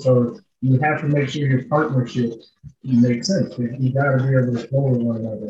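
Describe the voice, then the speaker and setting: In an American accent, a man speaks at a fairly quick pace with a medium pitch, fairly even intonation, a somewhat breathy quality and a dark, mellow tone. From Minnesota, St. Paul. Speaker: realtor. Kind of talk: podcast interview.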